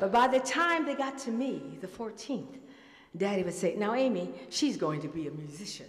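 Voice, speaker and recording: A woman with an American accent speaks at a fairly high pitch and a moderate pace. Her pitch swings very widely over noticeable background noise. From Detroit, US Midwest. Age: 70s. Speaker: musician and storyteller. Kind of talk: storytelling performance. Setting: stage with audience.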